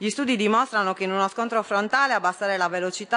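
This clip features a woman talking. She keeps her intonation fairly even. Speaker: member of parliament asking a question. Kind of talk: parliamentary oratory, reading a formal question. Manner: formal, measured, data-driven. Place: hall. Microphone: podium.

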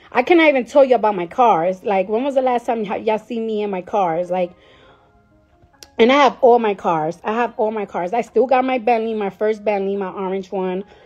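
Over faint background music, a woman speaks at a fairly quick pace with ordinary pitch variation. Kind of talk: casual live stream chat. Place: home room. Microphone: phone near.

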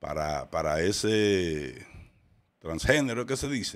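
A man with a fairly low pitch speaks at a very slow pace. His pitch swings very widely. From Dominican Republic, Santiago; Dominican Republic. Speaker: podcast host. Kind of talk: casual commentary. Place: studio. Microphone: studio mic.

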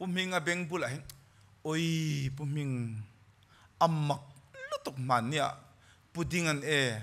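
Animated in tone, a man talks at a fairly high pitch with ordinary pitch variation. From Mizoram, northeast India. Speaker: preacher. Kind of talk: sermon. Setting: church. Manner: animated, fervent preaching. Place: church. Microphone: podium.

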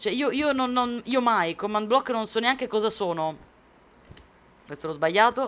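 A woman's animated voice, fairly high in pitch, with lively intonation, a moderate pace and long, frequent pauses. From Sicily (Palermo); Sicily. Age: 20s. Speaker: gaming streamer. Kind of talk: live stream chat while gaming. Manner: quieter than usual, holding back shouting; chatty, animated. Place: home room.

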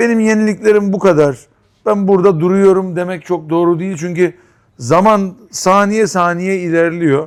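Speaking fairly slowly, a man uses a high pitch. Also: ordinary pitch variation. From Istanbul, Turkey. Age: 50s. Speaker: restaurant owner. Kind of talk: interview.

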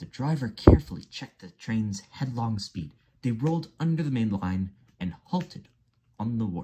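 The intonation rises and falls in a lively way. The text is read aloud in a natural voice.

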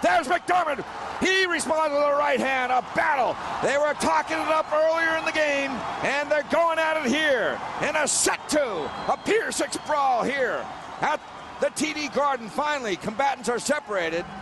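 This man speaks at a moderate pace in an extremely high pitch, with ordinary pitch variation over noticeable background noise. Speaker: hockey game announcer and auctioneer. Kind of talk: live sports play-by-play commentary.

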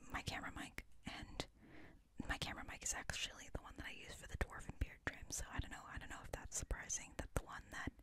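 Whispering and soft-spoken, a woman talks very fast in a dry recording without echo but with noticeable background noise. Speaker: ASMR creator. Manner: soft close whisper. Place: home room.

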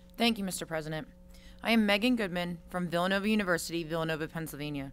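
With faint music in the background, a woman speaks at a fairly low pitch with ordinary pitch variation. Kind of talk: formal speech. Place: hall. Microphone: podium.

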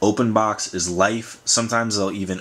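Fairly low in pitch, a man speaks with monotone, flat intonation. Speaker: vlogger. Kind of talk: casual vlog chat. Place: home room.

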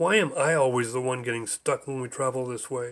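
This is a put-on character voice at a fairly quick pace. The words come out mumbled. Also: man. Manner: groggy, mumbling.

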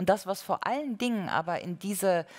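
In a quiet background, a woman talks at a moderate pace with ordinary pitch variation. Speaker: panel discussant. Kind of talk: panel discussion argument. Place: hall.

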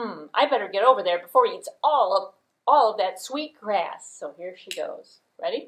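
A natural reading voice against a quiet background

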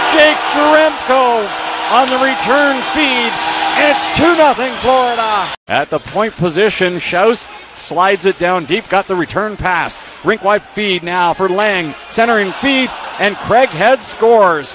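Over noticeable background noise, a man with a high voice and lively intonation speaks fairly slowly, the sound dry with no echo. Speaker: hockey play-by-play announcer. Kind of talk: live sports commentary, play-by-play of a hockey game. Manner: builds excitement on fights and goals. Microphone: headset.

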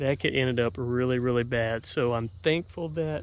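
A man at a moderate pace, in a dry sound with no echo. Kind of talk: casual vlog chat. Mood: relieved, thankful. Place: open country.

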